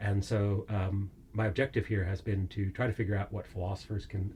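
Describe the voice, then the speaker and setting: With an American accent, a man speaks in a fairly low, somewhat breathy voice with a dark, mellow tone. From United States. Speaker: philosophy professor. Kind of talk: interview. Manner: hesitant, many fillers.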